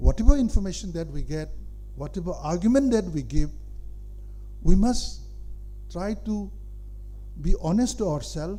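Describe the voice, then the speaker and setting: Audible room echo fills the space. In it, a man speaks at a moderate pace. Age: 70s. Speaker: senior public figure addressing students. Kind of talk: speech to an audience. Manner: halting, with many fillers.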